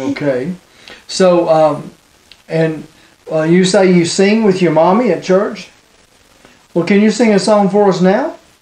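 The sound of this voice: A slow-paced man with a high, slightly mellow voice, long and frequent pauses, and audible room echo.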